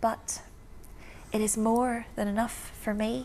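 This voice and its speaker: A woman with a Belfast accent speaks at a fairly slow pace. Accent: Belfast, Northern Irish. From East Belfast, Northern Ireland. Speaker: performance poet. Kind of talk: spoken word poetry performance.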